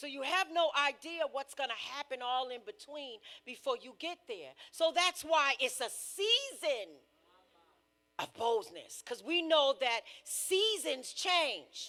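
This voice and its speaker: With an American accent, a woman speaks very slowly in a raised, projected voice, high-pitched with a bright, sharp tone, lively intonation and big swings in loudness. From US Northeast. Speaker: preacher. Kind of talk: sermon.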